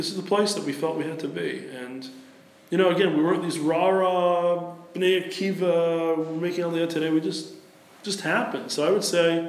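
Amid noticeable background noise and audible room echo, a man with an American accent speaks at a high pitch. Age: 40s. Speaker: sports writer and foundation head. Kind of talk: interview. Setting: in person, Tel Aviv.

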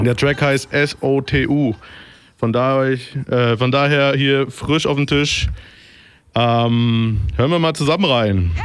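Over noticeable background noise, a man speaks at a very slow pace with very even loudness and long, frequent pauses. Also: medium pitch for a man, ordinary pitch variation. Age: 30s. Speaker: radio DJ. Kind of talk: casual radio moderation. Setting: studio. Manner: hesitant with many fillers.

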